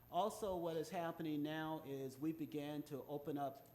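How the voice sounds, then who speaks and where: Ordinary pitch variation in a man's fairly high voice. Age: 60s. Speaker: youth finance program presenter. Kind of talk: public presentation. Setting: city commission meeting. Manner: halting, many filler sounds.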